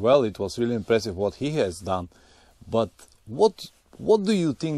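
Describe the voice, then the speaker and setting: With a non-native accent, a man talks at a moderate pace and medium pitch, his pitch swinging very widely. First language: not English. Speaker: motorcycle travel vlogger. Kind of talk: vlog intro and interview.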